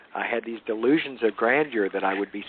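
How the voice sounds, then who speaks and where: This voice carries a Southern US accent. It moves at a fairly quick pace. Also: man. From Louisiana, US South. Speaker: author. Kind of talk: interview. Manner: halting, many fillers.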